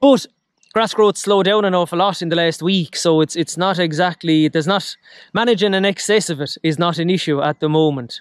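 This man has a high pitch and talks at a fairly quick pace with ordinary pitch variation. The sound is dry with no echo, over a quiet background. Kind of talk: casual vlog chat. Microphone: phone near.

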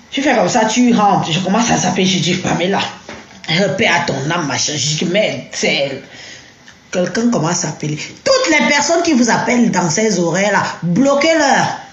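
A woman's medium-pitched voice at a moderate pace, its pitch swinging very widely, with audible room echo and noticeable background noise. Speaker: social media personality giving testimony. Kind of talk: live stream testimony.

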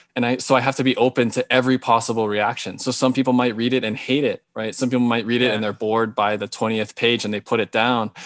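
Against a quiet background with dry sound and no echo, a man in an American accent speaks at a fairly quick pace with flat, monotone intonation. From Hawaii. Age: 40s. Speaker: novelist; interviewee. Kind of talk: interview. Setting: video call. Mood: calm, reflective. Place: home room. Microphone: video call.

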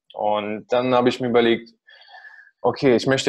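In a monotone, flat intonation, a man talks at a medium pitch over a quiet background. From Russia. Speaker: marketing agency founder; guest. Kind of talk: podcast interview. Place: home room. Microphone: video call.

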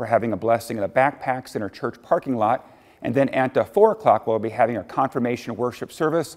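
Against a quiet background, the speaker keeps a fairly quick pace with ordinary pitch variation. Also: man. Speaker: lead pastor. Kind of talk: welcome and church announcements. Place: church.

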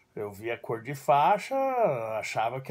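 A man is speaking. He keeps a moderate pace. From Brazil, São Paulo (childhood in southern Brazil). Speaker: judo teacher. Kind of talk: personal storytelling monologue; casual vlog chat, personal story. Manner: casual, with filler words. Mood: warm, nostalgic. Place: home room. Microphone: phone near.

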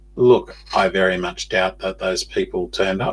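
This is a man speaking. He has an Australian accent. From Australia, Newcastle NSW. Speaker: podcast host. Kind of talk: monologue podcast. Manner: halting, many fillers. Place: home room. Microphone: webcam.

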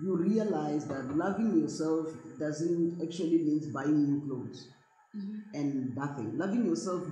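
With lively intonation and a very deep, low pitch, a woman speaks amid audible room echo. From South Africa. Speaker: actress. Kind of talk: interview. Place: home room.

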